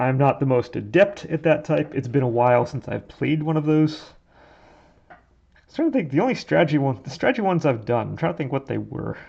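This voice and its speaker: Over a quiet background, a man talks at a fairly quick pace in a fairly high, somewhat breathy voice, his tone dark, mellow and relaxed, his intonation lively. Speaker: hobbyist model sculptor. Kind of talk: casual work-along commentary. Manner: relaxed, meandering.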